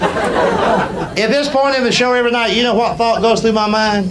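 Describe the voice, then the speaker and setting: A man's high-pitched voice in a Southern US accent, moderate pace, noticeable background noise behind it. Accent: Southern American. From Southern United States. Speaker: stand-up comedian. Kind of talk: stand-up comedy performance. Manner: storytelling.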